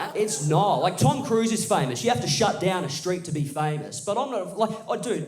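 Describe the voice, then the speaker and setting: A man's high-pitched voice at a very fast pace, with audible room echo and noticeable background noise. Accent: Australian. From Australia. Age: 20s. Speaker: stand-up comedian. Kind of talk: stand-up. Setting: stage with audience.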